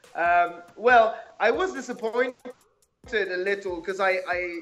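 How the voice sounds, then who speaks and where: With a Quebec accent, a man speaks at a fairly slow pace. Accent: French Canadian accent in English. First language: French. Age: 20s. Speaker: amateur MMA fighter turning pro. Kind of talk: casual interview chat.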